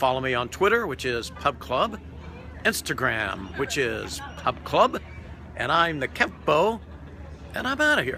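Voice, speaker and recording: Spoken at a fairly slow pace with an American accent, the voice comes through dry with no echo, broken by long, frequent pauses over light background noise. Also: man. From US South. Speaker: food and travel vlogger; travel vlogger. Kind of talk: vlog restaurant review. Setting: on location at a restaurant. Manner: animated. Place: waterside. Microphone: phone near.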